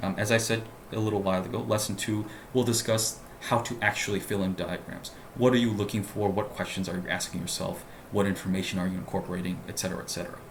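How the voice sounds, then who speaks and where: A man at a very fast pace, fairly low in pitch with fairly even intonation, amid noticeable background noise and audible room echo. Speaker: LSAT tutor. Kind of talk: tutorial. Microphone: laptop mic.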